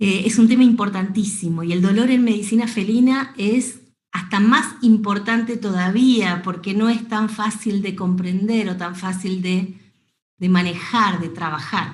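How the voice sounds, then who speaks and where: With audible room echo, a woman speaks in an Argentine accent at a medium pitch and fairly slow pace, somewhat breathy and with fairly even intonation. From Argentina. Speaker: veterinarian. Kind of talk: lecture.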